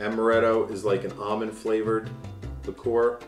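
The talking is at a moderate pace, with an American accent. There is audible room echo and faint music in the background. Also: man. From United States. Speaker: voice actor. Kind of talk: casual talk to camera. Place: home room. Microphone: camera far.

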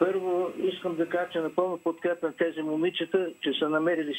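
A man with a high-pitched voice. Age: 80s+. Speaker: viewer calling in. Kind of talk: phone-in comment.

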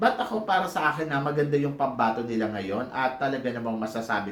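An animated man speaks at medium pitch with lively intonation. Audible room echo and noticeable background noise surround him. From Philippines. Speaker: pageant gossip vlogger. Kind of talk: casual vlog monologue.

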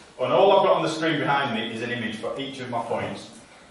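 Strong room echo surrounds this man's voice, with light background noise underneath. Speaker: preacher. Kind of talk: sermon. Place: church. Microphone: camera far.

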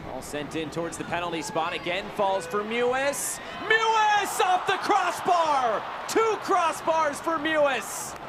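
Over noticeable background noise, a man uses a raised, projected voice at an extremely high pitch, with very wide pitch swings and a fairly slow pace. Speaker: play-by-play commentator. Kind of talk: live sports commentary. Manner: animated, breathless exclamations.

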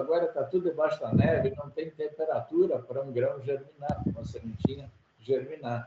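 Over loud background noise, a man talks at a fairly quick pace with a fairly high pitch and lively intonation. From Brazil, Rio Grande do Sul (rural interior). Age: 60s. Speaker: agricultural engineer, former company president; podcast guest. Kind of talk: interview. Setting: video call. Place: office. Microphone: video call.

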